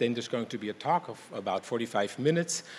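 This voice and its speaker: Light background noise runs under the recording. A man speaks at a moderate pace. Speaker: event moderator. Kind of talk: event introduction. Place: hall. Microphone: podium.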